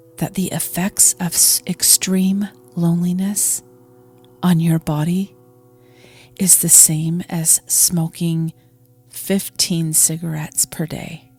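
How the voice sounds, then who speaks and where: A calm woman at a fairly low pitch, monotone and flat, with a very slow pace and long, frequent pauses, in a dry, close sound with no echo and music in the background. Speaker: meditation guide. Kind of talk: guided meditation. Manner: calm, slow.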